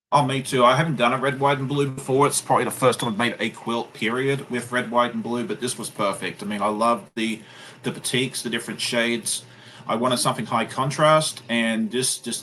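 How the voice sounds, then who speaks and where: Speaking at a fairly quick pace with an Australian accent, a man has a medium pitch, ordinary pitch variation and a bright, sharp tone. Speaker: sewing YouTuber. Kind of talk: live stream chat.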